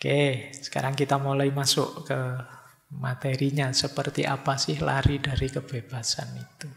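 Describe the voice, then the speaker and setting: Noticeable background noise sits behind the speech. A man talks with monotone, flat intonation. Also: fairly high pitch for a man, moderate pace. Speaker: Islamic philosophy lecturer. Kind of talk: lecture. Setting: mosque lecture with microphone. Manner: formal.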